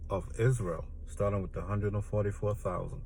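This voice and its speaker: Audible room echo surrounds a man whose voice is somewhat breathy and fairly low. His pitch varies in an ordinary way. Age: 60s. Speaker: religious speaker. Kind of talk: spiritual rant. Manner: casual, halting with fillers.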